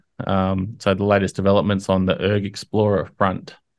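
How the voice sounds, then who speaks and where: Fairly low in pitch, a man speaks at a moderate pace over a quiet background. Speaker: community update host. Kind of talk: commentary. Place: home room. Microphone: studio mic.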